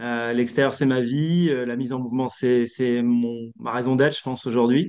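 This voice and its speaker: This man talks at a moderate pace, his pitch medium. His intonation stays fairly even. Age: 40s. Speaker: leadership coach. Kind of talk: interview. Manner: hesitant, many fillers.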